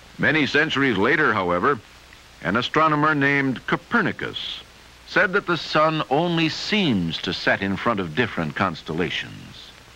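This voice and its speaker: Amid noticeable background noise, a man talks at a moderate pace and a fairly high pitch, his pitch swinging very widely. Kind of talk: vintage educational film narration. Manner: formal, measured, didactic; clear textbook-style explanation.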